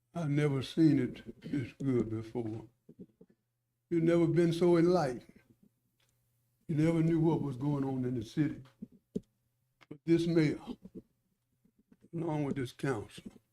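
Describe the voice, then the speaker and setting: A man with a Southern US accent speaks in a dark, mellow tone at a fairly high pitch. Long, frequent pauses break up his speech. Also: ordinary pitch variation, moderate pace. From Alabama, Irondale area. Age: 70s. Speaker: local resident commenter. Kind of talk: public comment at council meeting. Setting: city council meeting.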